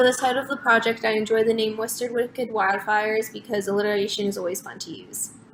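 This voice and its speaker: Very fast speech with an American accent, hardly any pauses, fairly even intonation and big swings in loudness over noticeable background noise. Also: woman, fairly high pitch for a woman. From New Jersey. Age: young. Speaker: student. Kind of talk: self-introduction video.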